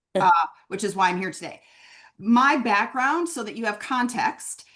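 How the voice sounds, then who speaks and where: A woman is speaking. She has a Minnesota accent. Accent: Northern US (Minnesota). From US Upper Midwest, Minneapolis. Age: 50s. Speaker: branding consultant. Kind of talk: webinar conversation.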